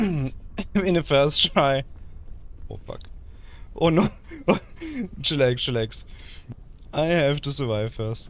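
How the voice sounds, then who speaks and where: A man at medium pitch with a German accent and ordinary pitch variation. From Germany. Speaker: VTuber streamer. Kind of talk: gaming livestream casual chat. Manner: halting.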